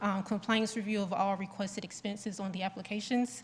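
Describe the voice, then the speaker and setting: A soft-spoken woman at medium pitch, somewhat breathy, with monotone, flat intonation. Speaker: town staff member presenting grant report. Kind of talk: presentation at public board meeting. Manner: halting, many fillers.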